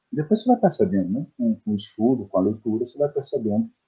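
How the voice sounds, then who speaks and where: Somewhat breathy, a man's dark, mellow voice moves through very wide pitch swings. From Bahia, Brazil (Bom Jesus da Lapa, interior). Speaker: poet and translator. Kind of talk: interview. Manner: halting, many repetitions.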